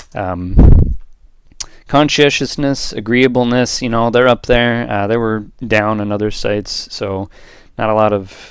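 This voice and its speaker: At a moderate pace and with fairly even intonation, a man speaks on a very clean recording with a silent background. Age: 20s. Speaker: student giving class presentation. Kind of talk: recorded class presentation. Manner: casual, conversational.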